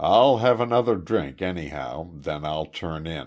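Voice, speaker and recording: A put-on character voice, growling with very wide pitch swings at a moderate pace, on a very clean recording with a silent background. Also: man, very deep, low pitch for a man. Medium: read story. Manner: muttering to himself.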